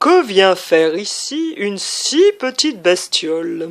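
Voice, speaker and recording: A woman puts on a character voice at medium pitch. She talks fairly slowly, with very wide pitch swings. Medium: read story. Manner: gentle, courteous.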